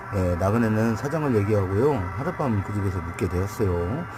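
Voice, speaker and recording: Music plays in the background as a man with a fairly low pitch speaks at a moderate pace with ordinary pitch variation. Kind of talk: humorous pun story told to camera.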